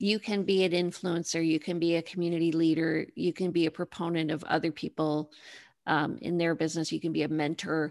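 A woman with a Canadian accent talks at a fairly quick pace and fairly low pitch, in a monotone, flat intonation. Her loudness stays very even over a quiet background. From Canada, Toronto. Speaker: realtor and TV host. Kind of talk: interview podcast.

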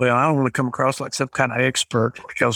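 A man in an Appalachian accent, medium pitch, very fast pace and monotone, flat intonation, on a very clean recording with a silent background and a dry, close sound with no echo. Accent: Appalachian US Southern. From Eastern Kentucky (Appalachia). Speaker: rural telecom cooperative CEO. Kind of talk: podcast interview.

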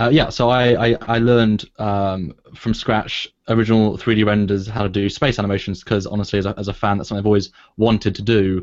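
A man's very fast speech in a British accent, fairly low in pitch, with fairly even intonation against a quiet background. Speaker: filmmaker. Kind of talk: casual chat.

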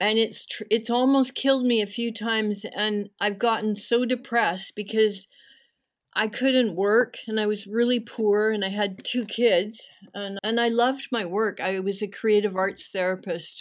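Against a silent background on a very clean recording, a woman with a fairly high pitch speaks in an ordinary speaking voice at a moderate pace with fairly even intonation. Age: 60s. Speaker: activist and art therapist. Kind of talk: interview.

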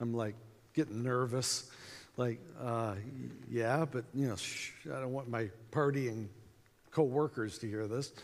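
Long, frequent pauses break up a man's fairly slow delivery, his medium pitch held to fairly even intonation. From US, small town. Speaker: evangelism speaker. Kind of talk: conference talk. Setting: stage with audience.

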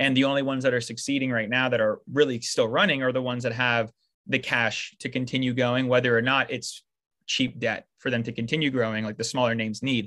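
A man's medium-pitched, bright, sharp voice at a very fast pace, in a monotone, flat delivery. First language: French. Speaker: podcast co-host. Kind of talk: casual chat.

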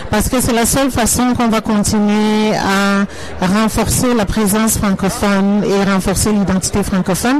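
Noticeable background noise sits behind a voice of very even loudness that moves at a moderate pace with fairly even intonation. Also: woman, medium pitch for a woman. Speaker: entrepreneur, consultant. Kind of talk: radio interview. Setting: noisy event with background music.

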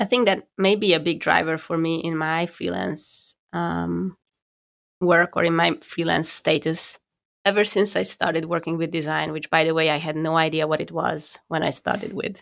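Recorded very cleanly with a silent background, a woman with a fairly low pitch and vocal fry speaks at a moderate pace with fairly even intonation. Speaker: podcast co-host and designer. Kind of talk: casual chat. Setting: recording from home.

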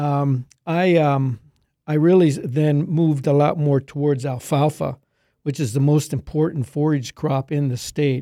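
With an American accent, a man with a fairly high pitch and a dark, mellow tone speaks at a fairly slow pace with fairly even intonation, on a very clean recording with a silent background. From Pennsylvania, near Middletown. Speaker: agronomy professor. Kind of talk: interview.

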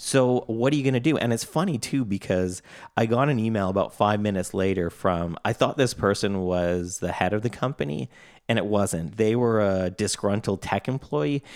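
A man's fairly low, Canadian-accented voice, a normal speaking voice at a moderate pace with ordinary pitch variation, on a very clean recording with a silent background. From Canada. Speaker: podcast co-host, software co-founder. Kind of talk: casual chat.

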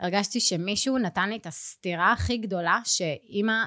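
A woman speaks at a moderate pace in a medium-pitched voice. Her intonation is lively. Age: 30s. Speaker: pilates studio owner. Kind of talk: interview.

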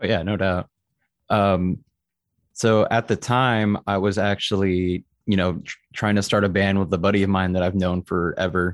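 A man with an American accent speaks at a moderate pace in a fairly low pitch, his intonation monotone and flat. The recording is very clean, with a silent background and a dry, close sound with no echo. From Texas (Austin). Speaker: metal band vocalist. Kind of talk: casual interview chat.

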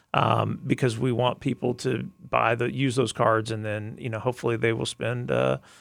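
A man's medium-pitched voice with vocal fry, ordinary pitch variation and a fairly quick pace, on a very clean recording with a silent background. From Arkansas. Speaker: park CEO. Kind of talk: interview.

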